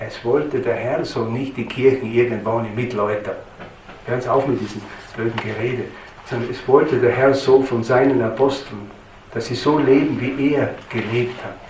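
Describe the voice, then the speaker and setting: In a Styrian accent, a man speaks with fairly even intonation, with audible room echo and light background noise. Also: moderate pace. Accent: Styrian Austrian German. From Styria, Austria. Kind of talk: lecture. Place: church.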